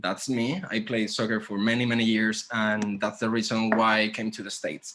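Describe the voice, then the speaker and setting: With a Spanish accent, a man is talking. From Spain (Santander, north). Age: 30s. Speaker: graphic designer. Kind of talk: conference talk. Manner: halting.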